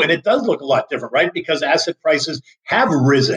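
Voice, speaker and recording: This man, with an American accent, uses a plain, everyday voice at a fairly high pitch and a fairly quick pace. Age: 60s. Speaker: market strategist. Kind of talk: interview.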